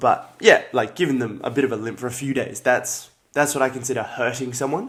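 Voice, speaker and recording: This man talks at a fairly quick pace with an Australian accent. His pitch is medium and his intonation fairly even. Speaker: martial arts fighter and livestreamer. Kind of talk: casual live stream chat. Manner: casual, filler-heavy.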